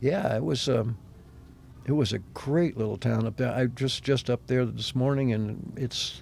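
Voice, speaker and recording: With vocal fry, a man speaks fairly slowly at a medium pitch with ordinary pitch variation. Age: 70s. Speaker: artist. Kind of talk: interview. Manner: halting.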